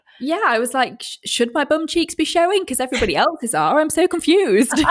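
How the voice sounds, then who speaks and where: Someone with an English accent talks at a very fast pace with lively intonation. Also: woman, high pitch for a woman. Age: 30s. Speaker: weather presenter and podcast co-host. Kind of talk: casual chat. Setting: call. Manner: fast, frantic.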